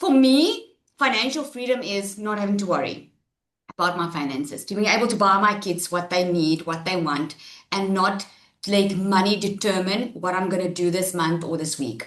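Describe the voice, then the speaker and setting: This woman talks at a moderate pace in a medium pitch, her tone animated and her intonation lively. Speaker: webinar host. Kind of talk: webinar presentation. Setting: webinar. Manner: loud.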